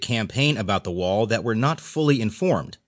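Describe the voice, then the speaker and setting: Lively in intonation, a man with an unremarkable speaking voice talks at a fairly quick pace. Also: quiet background. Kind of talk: newsreading, audiobook narration of newspaper stories. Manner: even, measured, formal newsreader delivery.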